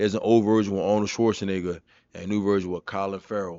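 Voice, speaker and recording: With a New York accent, a man talks at a very fast pace. His fairly low voice carries an animated tone. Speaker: streamer reacting to a video. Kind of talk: casual reaction commentary.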